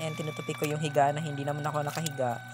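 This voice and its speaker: Someone talks at a very fast pace over music in the background. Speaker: vlogger. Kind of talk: vlog voice-over narration. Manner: casual, joking.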